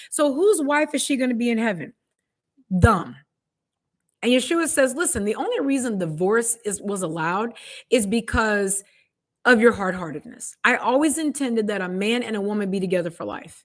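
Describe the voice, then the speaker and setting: Speaking at a fairly quick pace, a woman with a fairly high pitch uses lively intonation on a very clean recording with a silent background. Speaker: bible teacher. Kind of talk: sermon. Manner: dry and sarcastic.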